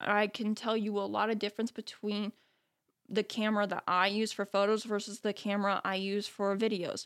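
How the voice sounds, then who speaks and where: An unremarkable speaking voice moves at a moderate pace with very even loudness. The recording is very clean, with a silent background. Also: woman. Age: young. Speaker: podcast host and photography educator. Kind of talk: solo reflective monologue.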